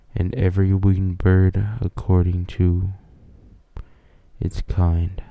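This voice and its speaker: Soft-spoken and very slow, a man speaks in a very deep, low pitch with monotone, flat intonation. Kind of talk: ASMR Bible reading.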